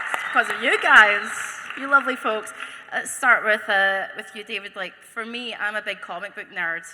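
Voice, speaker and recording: Over noticeable background noise, a woman talks at a moderate pace in a fairly high pitch, with ordinary pitch variation and big swings in loudness. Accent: Scottish. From Scotland. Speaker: convention panel host. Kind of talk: panel moderation. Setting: stage with audience.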